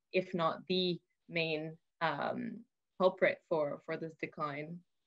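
Music plays in the background as a woman speaks with fairly low pitch and fairly even intonation. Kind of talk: interview answer. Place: office. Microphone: video call.

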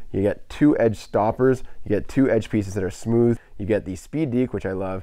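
Against a quiet background, a dark, mellow voice moves at a moderate pace with ordinary pitch variation, the sound dry and free of echo. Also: man. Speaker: hockey coach, video creator. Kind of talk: casual vlog chat and product overview. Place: home room.

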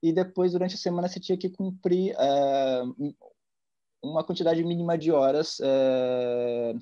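A man speaks fairly slowly with lively intonation against a quiet background. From interior of São Paulo state, Brazil (Ribeirão Preto); São Paulo state, Brazil. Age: 30s. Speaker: art curator; interviewee. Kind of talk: casual interview. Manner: halting, with fillers. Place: home room. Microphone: video call.

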